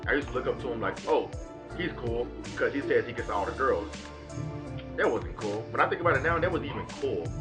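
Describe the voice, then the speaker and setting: A man is speaking. There is music in the background. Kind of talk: casual talk to camera.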